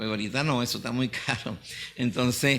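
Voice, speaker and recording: With noticeable noise in the background, a man's medium-pitched voice shows ordinary pitch variation at a fairly quick pace. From Venezuela, Mérida Andes. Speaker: pastor. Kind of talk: testimony. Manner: halting, many fillers.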